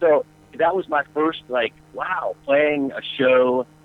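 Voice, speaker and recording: A man with an American accent speaks in a fairly high pitch against noticeable background noise. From US South, North Carolina and Atlanta. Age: 40s. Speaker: rock guitarist. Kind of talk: interview. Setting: radio show.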